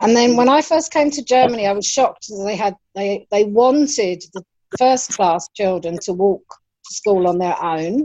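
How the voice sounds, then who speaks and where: A woman with a London accent has a dark, mellow tone at a medium pitch. Her intonation is lively, and her loudness swings widely. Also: moderate pace. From England, London. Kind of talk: casual chat.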